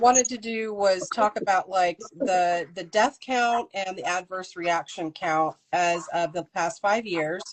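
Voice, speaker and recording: A woman speaks with a plain, everyday voice and ordinary pitch variation. Her pace is fairly slow, with hardly any pauses. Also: medium pitch for a woman. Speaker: interviewer. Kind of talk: interview questions, casual conversation.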